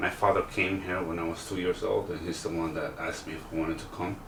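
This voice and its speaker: A man with a very deep, low voice speaks at a fairly quick pace amid noticeable background noise and audible room echo. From El Salvador. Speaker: real estate agent contestant. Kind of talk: interview. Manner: halting.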